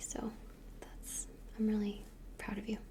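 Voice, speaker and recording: A soft-spoken voice with a gentle tone. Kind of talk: ASMR role play, soft-spoken talk to the listener. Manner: soft-spoken, gentle, friendly.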